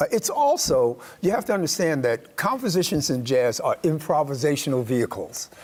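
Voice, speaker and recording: Over noticeable background noise, a man with an American accent speaks at a fairly quick pace. His fairly high pitch swings very widely while his loudness stays very even. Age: 60s. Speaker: jazz drummer. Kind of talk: interview. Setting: studio.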